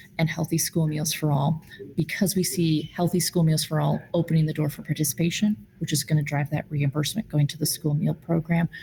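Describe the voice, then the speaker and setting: A woman with a very deep, low pitch and a dark, mellow tone speaks at a fairly quick pace with vocal fry. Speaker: food policy advocate at a nonprofit. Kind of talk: virtual meeting presentation. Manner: many fillers and false starts.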